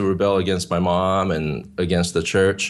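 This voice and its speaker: A man with a Korean accent talks at a fairly slow pace, his fairly low voice showing ordinary pitch variation. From South Korea, moved to California at nine. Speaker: worship leader. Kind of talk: interview testimony. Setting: video call.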